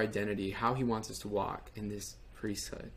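A man with a normal speaking voice at a moderate pace. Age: 20s. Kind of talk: testimony.

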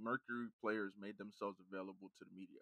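A man with a bright, sharp tone is heard in a very clean recording with a silent background and a dry, close sound with no echo. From Nigerian heritage. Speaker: sports podcast co-host. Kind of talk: casual sports chat.

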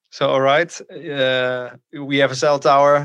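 A man speaks with a Dutch accent at a medium pitch. His intonation is monotone and flat. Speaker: podcast host. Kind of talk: interview. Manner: halting.

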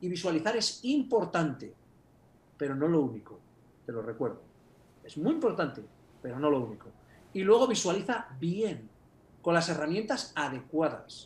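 With long, frequent pauses, a man speaks in a high pitch with very wide pitch swings. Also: moderate pace. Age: 50s. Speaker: personal growth coach and author. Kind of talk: interview. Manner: animated.

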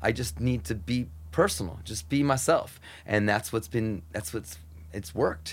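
A man's fairly low, somewhat breathy voice, with lively intonation at a moderate pace. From US, Mexican-American family. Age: 40s. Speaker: radio host and music programmer. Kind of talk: casual chat. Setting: home garage. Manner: animated.

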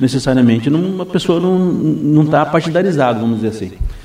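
Over noticeable background noise, a man with a fairly high voice speaks at a fairly quick pace with lively intonation. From Brazil, Foz do Iguaçu (Paraná). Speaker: municipal guard and vice-mayor candidate. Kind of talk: radio interview. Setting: radio studio. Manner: halting, many repetitions.

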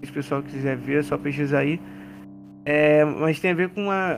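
Here is a man with an unremarkable speaking voice, pitched fairly high. His pace is moderate and his pitch varies in an ordinary way. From Rio de Janeiro, Brazil. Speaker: basketball content creator. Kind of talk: casual chat.

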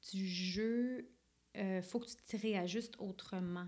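The voice has a dark, mellow tone with ordinary pitch variation. It moves at a very slow pace. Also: woman. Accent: Quebec. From Quebec. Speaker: film director and actress. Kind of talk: interview. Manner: casual.

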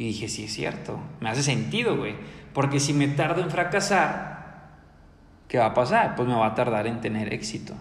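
Energetic in tone, the speech moves at a moderate pace with lively intonation, amid audible room echo and noticeable background noise. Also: man, medium pitch for a man. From Mexico, Ciudad Victoria, Tamaulipas. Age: 20s. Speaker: entrepreneurship podcaster. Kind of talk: motivational monologue. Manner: energetic, halting with repetitions.

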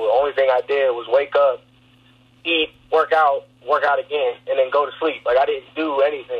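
Behind the speech is noticeable background noise. The man keeps to a moderate pace. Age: 20s. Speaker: college football player. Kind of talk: casual interview. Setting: in a car.

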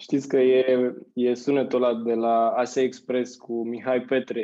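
A man's voice sits at medium pitch. Its tone is dark and mellow. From Romania. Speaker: marketing agency founder and CEO. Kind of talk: casual interview.

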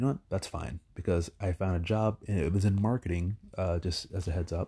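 A man's somewhat breathy, very deep, low voice with a dark, mellow tone, fairly quick pace and ordinary pitch variation, dry and close with no echo, in a very clean recording with a silent background. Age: 30s. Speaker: podcaster. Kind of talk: solo monologue. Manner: rambling, hesitant with many fillers.

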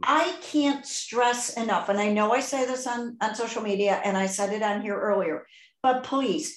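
A woman's animated voice in a Chicago accent, at a fairly slow pace. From US Midwest, Chicago southwest side. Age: 60s. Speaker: podcast host. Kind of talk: casual interview chat.

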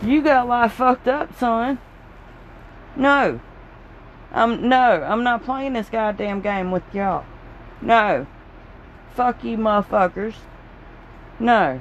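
A woman speaks at a very slow pace in a Southern US accent, with long, frequent pauses. Her pitch is fairly high, and its variation is ordinary. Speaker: podcaster. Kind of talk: casual rant. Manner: animated; rambling.

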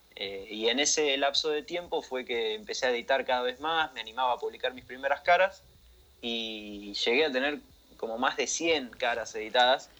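With an Argentine accent, a man speaks at a fairly high pitch in a bright, sharp tone. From Argentina. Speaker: game modding community admin. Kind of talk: casual radio interview.

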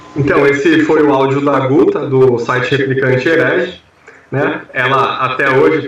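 A man speaks at a medium pitch and a moderate pace. There is noticeable background noise. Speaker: podcast co-host. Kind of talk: casual chat.

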